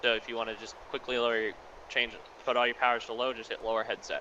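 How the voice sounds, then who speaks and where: Noticeable background noise runs under the recording. A man speaks at a very fast pace. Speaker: game training instructor. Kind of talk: tutorial. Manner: loud.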